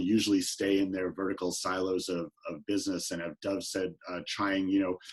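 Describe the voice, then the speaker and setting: A man's very deep, low voice with a New York accent. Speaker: healthcare executive. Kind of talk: panel talk. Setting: video call.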